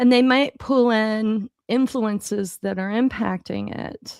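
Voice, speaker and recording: The woman's voice is fairly high in pitch, with fairly even intonation. The sound is dry and close, with no echo. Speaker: leadership coach and co-host. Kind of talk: casual conversation on livestream. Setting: live video stream. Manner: slow.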